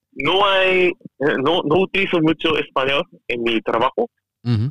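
Taking a very slow pace, a man talks with ordinary pitch variation. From Japan, Chiba. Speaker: former listener and ex-participant. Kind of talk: casual chat.

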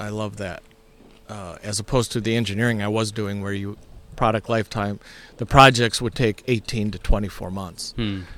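An ordinary speaking voice from a man, fairly low in pitch, at a moderate pace with fairly even intonation and big swings in loudness. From Ohio. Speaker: pastor. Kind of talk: casual interview. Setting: on site at a church camp.

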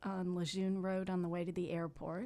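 This woman has an unremarkable speaking voice with an American accent. Her pitch sits fairly low. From Miami, Florida. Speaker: congressional candidate, former judge. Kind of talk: radio interview. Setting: radio studio.

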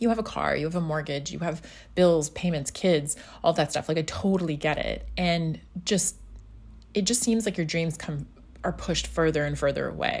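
In an animated tone, a woman with a very deep, low pitch and vocal fry speaks at a moderate pace with ordinary pitch variation. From Scotland, Highlands foothills. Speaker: podcast host and furniture business owner. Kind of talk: casual solo podcast monologue. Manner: chatty, animated.

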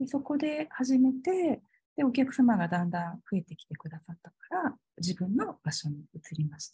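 With big swings in loudness and very wide pitch swings, a woman speaks at a moderate pace in a fairly high pitch and a dark, mellow tone. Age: 40s. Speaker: holistic aesthetician and salon owner. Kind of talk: interview conversation.

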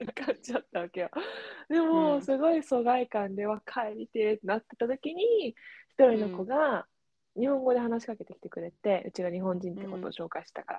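With an ordinary speaking voice, a woman talks fairly quickly at a fairly high pitch, her intonation lively and her loudness swinging widely. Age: 20s. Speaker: podcast co-host. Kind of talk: casual chat.

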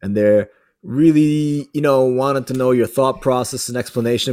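The recording is very clean and the background silent. A normal speaking voice goes at a fairly quick pace, its pitch varying in an ordinary way. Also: man. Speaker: judo instructor and podcast host. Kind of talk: casual interview chat.

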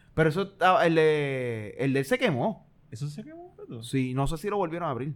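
The man has an unremarkable speaking voice, fairly high in pitch. He talks at a fairly quick pace with lively intonation and big swings in loudness. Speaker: podcast co-host. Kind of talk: casual chat.

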